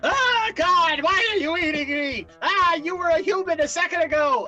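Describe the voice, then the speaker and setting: Someone in a put-on character voice speaks at an extremely high pitch and a moderate pace, with clear background noise. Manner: terrified, pleading.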